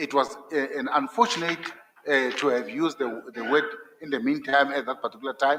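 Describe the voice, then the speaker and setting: With lively intonation and a non-native accent, a man speaks at a moderate pace in a fairly high pitch. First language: not English. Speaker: judicial candidate (judge). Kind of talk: job interview. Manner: halting, repetitive.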